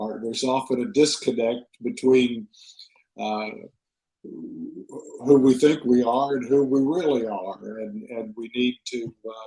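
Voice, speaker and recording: A man of medium pitch speaks at a very slow pace with ordinary pitch variation. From Texas. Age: 70s. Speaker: author. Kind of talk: interview. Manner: halting, many fillers and repeats.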